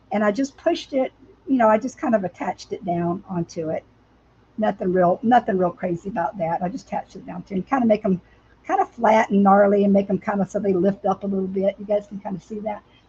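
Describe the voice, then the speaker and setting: A woman's very fast, somewhat breathy speech in an American accent, medium in pitch with ordinary pitch variation and a dark, mellow tone, in a dry, close sound with no echo. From US South. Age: 60s. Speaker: crafter. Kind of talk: live craft tutorial. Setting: livestream. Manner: casual, chatty.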